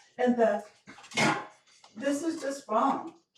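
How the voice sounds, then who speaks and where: Music plays in the background as a woman speaks. Her pace is fairly slow and her intonation lively. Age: 60s. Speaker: resident speaking at public comment. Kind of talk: public comment at town council meeting. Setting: town council meeting. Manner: emotional.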